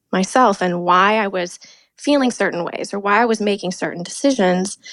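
Speaking with an American accent, the woman has a medium pitch and ordinary pitch variation. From US Pacific Northwest, Seattle area. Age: 30s. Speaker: domestic abuse survivor. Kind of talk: personal testimony in interview. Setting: remote call.

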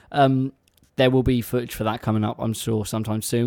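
The voice has a dark, mellow tone and an English accent. Delivery is fairly quick and monotone, with flat intonation. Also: man. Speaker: radio co-host. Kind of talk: casual chat. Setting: radio studio. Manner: playful, rambling.

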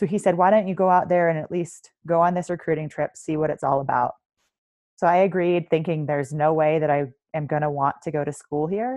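With an American accent, a woman talks at a fairly quick pace in a very deep, low pitch with ordinary pitch variation. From US East Coast. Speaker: military veteran and coach. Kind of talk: podcast interview.

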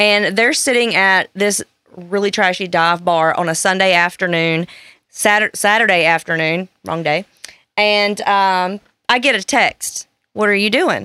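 A woman speaks with a bright, sharp tone. Her pitch varies in an ordinary way. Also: dry, close sound with no echo. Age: 30s. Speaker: podcast guest. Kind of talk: casual chat. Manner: animated.

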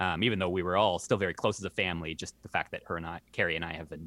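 Very fast speech with a Canadian accent comes through a dry, close sound with no echo. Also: man. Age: 30s. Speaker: community radio host, blind advocate. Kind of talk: casual interview.

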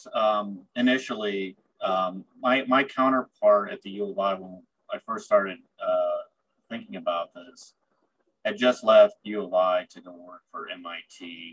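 A man speaks with a US Midwestern accent. His pitch swings very widely. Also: medium pitch for a man, fairly slow pace, big swings in loudness, dry, close sound with no echo. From central Illinois, US Midwest. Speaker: university technology transfer director. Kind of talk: interview.

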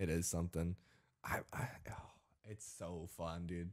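On a very clean recording with a silent background, a man's voice comes through. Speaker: podcast host and streamer. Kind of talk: casual chat. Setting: studio. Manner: sarcastic-sounding delivery.

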